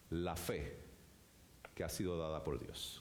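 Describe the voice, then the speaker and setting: A man's voice comes with audible room echo. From Puerto Rico. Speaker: pastor. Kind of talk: sermon. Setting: church.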